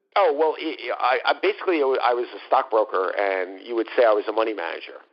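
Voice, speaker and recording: This man talks in a New York accent. He keeps a moderate pace. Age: 50s. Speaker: former fund manager. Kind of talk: interview. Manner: halting, many fillers.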